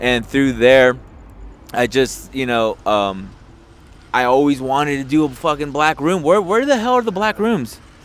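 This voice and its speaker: Lively in intonation, a man speaks in a Spanish accent. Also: fairly high pitch for a man, moderate pace. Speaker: podcast host and comedian. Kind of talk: casual chat.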